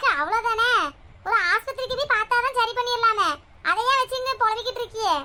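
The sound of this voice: In a cartoonish character voice, a woman speaks at an extremely high pitch with very even loudness. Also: moderate pace.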